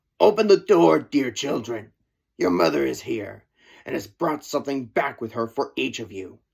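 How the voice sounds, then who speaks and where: Pausing long and often, a man growls through a put-on character voice at a medium pitch, recorded very cleanly over a silent background. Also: moderate pace. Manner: feigning sweetness.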